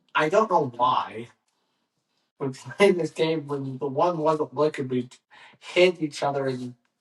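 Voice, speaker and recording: A man speaks at a fairly slow pace in a fairly high, somewhat breathy voice, with ordinary pitch variation and long, frequent pauses. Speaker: podcast host. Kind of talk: casual chat. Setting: studio. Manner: halting.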